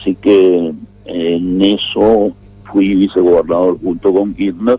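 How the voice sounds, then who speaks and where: Noticeable background noise sits behind a man's voice. His pitch is very deep and low, with fairly even intonation. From Argentina, northern Santa Cruz (Patagonia). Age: 60s. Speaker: former politician. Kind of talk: radio interview. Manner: hesitant, with fillers.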